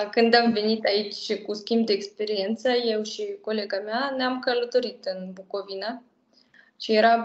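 A woman with a Russian accent and a fairly high pitch, fairly even intonation at a moderate pace, with audible room echo. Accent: Russian accent in Romanian. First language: Russian (speaking Romanian). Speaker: language project co-creator; interview guest. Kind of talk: interview; interview answer. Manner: halting. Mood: warm, relaxed. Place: home room. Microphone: video call.

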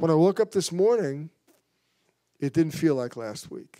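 Against a quiet background, a man speaks with a fairly high pitch. His tone is dark and mellow. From New York. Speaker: pastor. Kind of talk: mission report. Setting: church. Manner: fast. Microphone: handheld.

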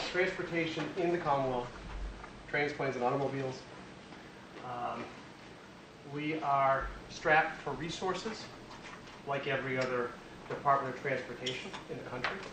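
A man with an American accent and fairly high pitch, ordinary pitch variation, a moderate pace with long, frequent pauses, and noticeable background noise. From Worcester, Massachusetts. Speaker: state transportation finance official. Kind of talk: lecture. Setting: stage with audience.

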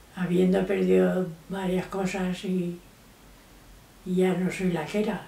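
A woman speaks at a fairly slow pace in a monotone, flat intonation, leaving long, frequent pauses, with audible room echo. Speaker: grandmother interviewed. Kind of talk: interview answer. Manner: slow, hesitant. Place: home room.

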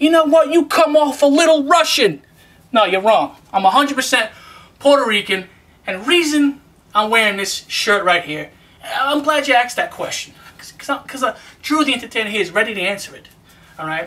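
At a moderate pace, a man speaks with an extremely high pitch, a bright, sharp tone and lively intonation.

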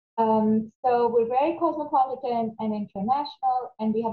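A woman's fairly high voice at a moderate pace with ordinary pitch variation and audible room echo. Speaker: academic coordinator. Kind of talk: webinar presentation. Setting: video call. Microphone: webcam.

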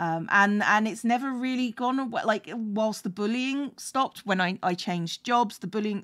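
A fairly high-pitched woman with a British accent and ordinary pitch variation. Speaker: streamer. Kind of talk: casual chat. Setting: home stream with a cat.

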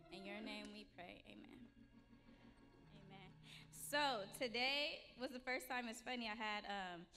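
Over light background noise, a woman talks at a fairly slow pace and a fairly high pitch. Her tone is bright and sharp, with vocal fry and big swings in loudness. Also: lively intonation. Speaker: preacher. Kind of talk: sermon. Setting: church. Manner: casual. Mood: warm, light, conversational. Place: church. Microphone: podium.

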